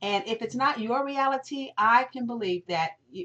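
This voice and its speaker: A woman's voice with ordinary pitch variation. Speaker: network marketing presenter. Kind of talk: webinar sales pitch. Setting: recorded webinar. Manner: fast; animated.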